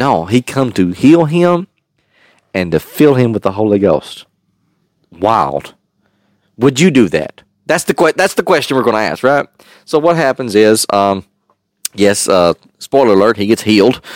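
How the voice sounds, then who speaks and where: Here a man with a medium pitch talks at a moderate pace, his pitch swinging very widely and broken by long, frequent pauses. The sound is dry and close, with no echo. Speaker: podcast host and Bible teacher. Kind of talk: casual Bible-study podcast chat, with scripture read aloud. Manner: conversational, laughing, with fillers; reads the King James verses aloud with a steady, earnest cadence.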